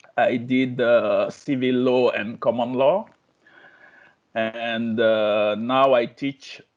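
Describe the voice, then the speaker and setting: A man speaks with a French accent at a very slow pace. His pitch is medium and his intonation fairly even. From Guinea, West Africa. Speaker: business law lecturer, course participant. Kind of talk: self-introduction. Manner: halting.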